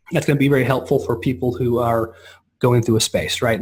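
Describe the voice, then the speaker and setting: A man's somewhat breathy voice races along at a very fast pace. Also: very clean recording, silent background. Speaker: software company rep giving product demo. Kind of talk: product demo on a call. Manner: casual, halting with many restarts.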